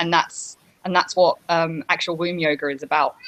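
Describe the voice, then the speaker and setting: A woman with a British accent, fairly low in pitch with ordinary pitch variation, at a fairly quick pace. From UK. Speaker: yoga teacher. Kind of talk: interview. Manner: hesitant.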